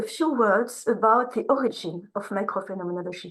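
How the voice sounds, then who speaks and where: A woman with a French accent speaks, her pitch swinging very widely. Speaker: researcher, keynote speaker. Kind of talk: academic lecture. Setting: video call to conference room. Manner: slow.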